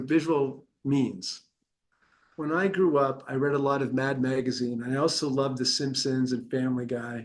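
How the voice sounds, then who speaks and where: This man talks at a moderate pace, his pitch fairly high. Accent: American. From US West Coast, San Francisco. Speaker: author. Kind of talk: promotional interview monologue. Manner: halting with repetitions.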